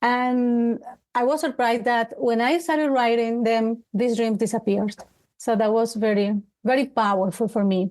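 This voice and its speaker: Speaking at a moderate pace, a woman has a fairly high pitch with ordinary pitch variation. Her loudness stays very even. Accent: Colombian. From Colombia, Bogota. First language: Spanish. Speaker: life coach. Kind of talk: interview. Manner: halting.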